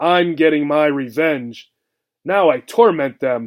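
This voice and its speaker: A man uses a put-on character voice with a fairly high pitch. He speaks at a fairly slow pace. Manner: bitter, vengeful.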